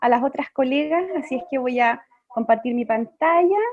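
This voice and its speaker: This woman has a high-pitched voice with ordinary pitch variation. She talks at a fairly slow pace. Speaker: lawyer and panelist. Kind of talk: presentation talk. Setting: video conference webinar.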